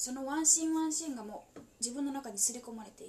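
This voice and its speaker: A woman's high voice rises and falls with ordinary pitch variation. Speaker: solo podcaster. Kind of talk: whispered casual monologue. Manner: whispering; halting.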